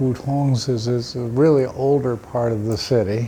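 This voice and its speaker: Noticeable background noise surrounds a man speaking at a medium pitch. He talks at a fairly slow pace with an American accent. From United States. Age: 60s. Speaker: retired expat volunteer. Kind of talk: interview monologue. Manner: hesitant, with fillers.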